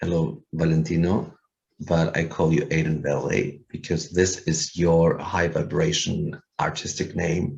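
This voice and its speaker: Speech with a German accent comes at a fairly slow pace with ordinary pitch variation. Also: man. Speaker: musician. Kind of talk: casual interview. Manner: halting, many fillers.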